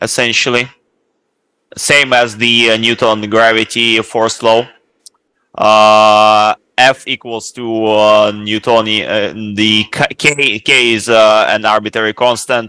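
A man's bright, sharp voice, flat and monotone, very slow, in a dry sound with no echo over a quiet background. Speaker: student; lecturer. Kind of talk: lecture Q&A. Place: classroom.

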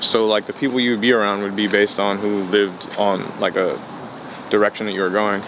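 A man with an American accent talks at a fairly quick pace in a fairly low, monotone voice with flat intonation, the sound dry with no echo but with noticeable background noise. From New York City, Queens and Harlem; New York City. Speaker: rapper; interviewee. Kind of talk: interview. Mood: relaxed, casual. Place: street. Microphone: phone near.

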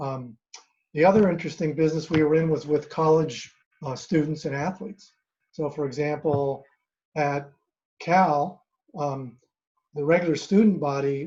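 A man's fairly high, somewhat breathy voice with a dark, mellow tone and long, frequent pauses. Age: 60s. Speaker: physician. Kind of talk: informal talk at an online meeting. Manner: halting, many fillers. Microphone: microphone problem.

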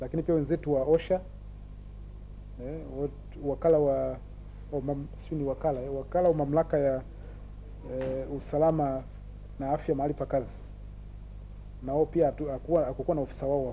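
With long, frequent pauses, a man talks at a moderate pace over light background noise. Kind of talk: press interview answer. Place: office. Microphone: handheld.

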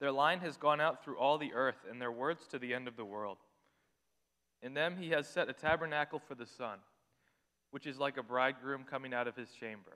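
Long, frequent pauses break up a man's bright, sharp voice, which keeps a fairly even intonation. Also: quiet background. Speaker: scripture reader. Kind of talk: scripture reading. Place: church. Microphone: podium.

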